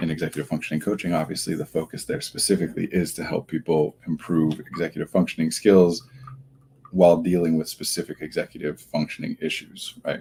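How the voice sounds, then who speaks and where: Quietly and at a very fast pace, a man speaks with a very deep, low pitch, a dark, mellow tone and ordinary pitch variation. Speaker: therapist hosting a livestream. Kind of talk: casual livestream talk.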